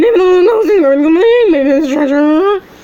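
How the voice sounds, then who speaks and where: A woman puts on a character voice at an extremely high pitch, talking very fast. Light noise sits in the background. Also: very even loudness. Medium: read story.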